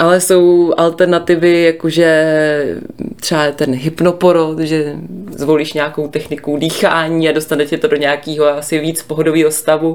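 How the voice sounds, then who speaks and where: A woman's very deep, low voice in a monotone, flat intonation at a moderate pace. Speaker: parenting podcast co-host. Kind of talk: casual chat.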